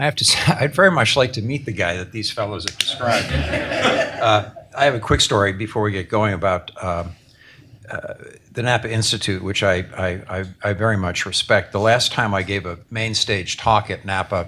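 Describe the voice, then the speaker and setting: Noticeable background noise sits under the speech. The pace is moderate and the pitch varies in an ordinary way. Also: man, fairly low pitch for a man. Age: 70s. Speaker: author. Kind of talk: book launch talk.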